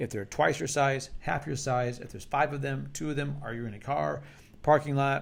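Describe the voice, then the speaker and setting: A man with an ordinary speaking voice and a medium pitch talks at a fairly quick pace with lively intonation. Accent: American. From United States. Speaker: martial arts instructor. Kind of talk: instructional talk to camera. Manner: casual, conversational with repetitions.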